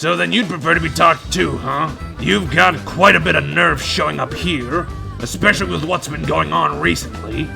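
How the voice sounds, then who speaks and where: A man performs a put-on character voice over clear music in the background. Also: moderate pace. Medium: audio drama. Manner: mocking, aggressive.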